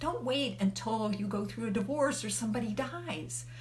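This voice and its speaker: Here a woman talks at a moderate pace. Audible room echo and noticeable background noise surround her. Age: 70s. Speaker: life coach. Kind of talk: live video talk. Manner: conversational.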